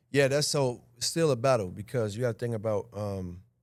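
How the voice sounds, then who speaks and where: This man's voice sits at a middle pitch and shifts in a normal way. A silent background makes for a very clean recording. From Chicago, West Side. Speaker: actor. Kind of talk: interview. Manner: animated.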